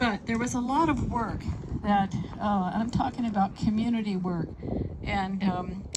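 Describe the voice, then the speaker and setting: Room echo and noticeable background noise surround a woman speaking at a medium pitch. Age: 80s+. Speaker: city councilmember. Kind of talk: public speech. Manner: halting with many fillers.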